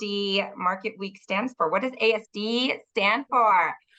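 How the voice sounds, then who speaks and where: Loud and fairly high-pitched, a woman speaks in a bright, sharp tone. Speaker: trade show director and podcast host. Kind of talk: podcast interview.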